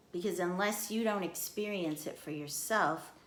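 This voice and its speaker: A woman at a medium pitch and moderate pace, with ordinary pitch variation and audible room echo. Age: 60s. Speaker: vlogger. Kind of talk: personal monologue.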